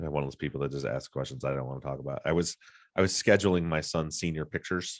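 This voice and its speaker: Very fast speech with vocal fry and ordinary pitch variation. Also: man, very deep, low pitch for a man. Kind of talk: DJ voice.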